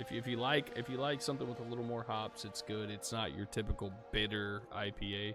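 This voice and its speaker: Music plays in the background as a man speaks in a fairly low pitch with ordinary pitch variation. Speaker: sim racing league streamer and commentator. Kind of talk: casual chat; live commentary. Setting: live stream.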